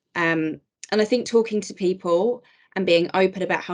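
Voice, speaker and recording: This woman has a plain, everyday voice at a medium pitch. She speaks at a fairly quick pace with ordinary pitch variation. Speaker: HR advisor with ADHD, podcast guest. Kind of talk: podcast interview.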